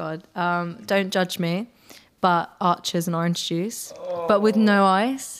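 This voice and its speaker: Speaking in a West Country accent, a woman goes at a very slow pace with fairly even intonation. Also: medium pitch for a woman. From near Bristol, England. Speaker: singer-songwriter. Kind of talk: interview.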